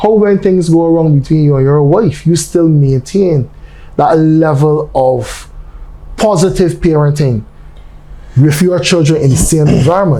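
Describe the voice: With audible room echo, a man speaks at a fairly high pitch in a dark, mellow tone, at a fairly slow pace with ordinary pitch variation.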